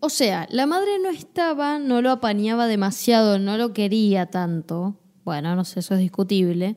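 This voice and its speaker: A woman in a Rioplatense accent with a dark, mellow tone and lively intonation, at a moderate pace with hardly any pauses, on a very clean recording with a silent background. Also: medium pitch for a woman. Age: 20s. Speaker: podcast co-host. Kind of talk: casual chat.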